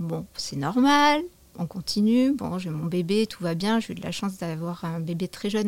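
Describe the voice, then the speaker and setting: A woman with a normal speaking voice, medium in pitch, with lively intonation at a moderate pace. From southwestern France. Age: 40s. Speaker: yoga teacher. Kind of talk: testimony.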